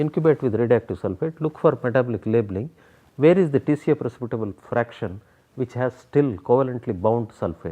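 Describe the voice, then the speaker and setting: With a Kannada accent, a man at medium pitch speaks at a very fast pace, his pitch swinging very widely. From South India. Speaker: biochemistry professor. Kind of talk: interview.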